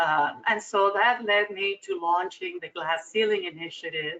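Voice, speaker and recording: Speaking slowly-ish with a Spanish accent, a woman uses lively intonation at a medium pitch. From Cuba. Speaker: corporate board director. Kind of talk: interview.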